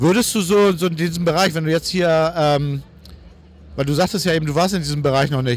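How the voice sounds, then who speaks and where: With ordinary pitch variation, a man delivers his words fairly quickly in a fairly high register. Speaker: podcast host, wheelchair user. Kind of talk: casual walking interview. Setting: convention hall. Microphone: distorted recording.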